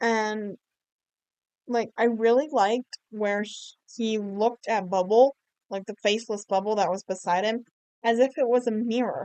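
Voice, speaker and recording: A woman with a fairly high pitch and a dark, mellow tone speaks with fairly even intonation and long, frequent pauses, the sound dry and close with no echo. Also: moderate pace. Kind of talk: casual commentary over gameplay. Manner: rambling, chatty.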